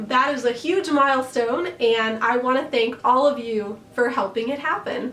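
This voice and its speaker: With noticeable background noise behind her, a woman with an American accent speaks in a high pitch at a very slow pace. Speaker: costume designer and YouTuber. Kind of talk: tutorial. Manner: friendly, conversational.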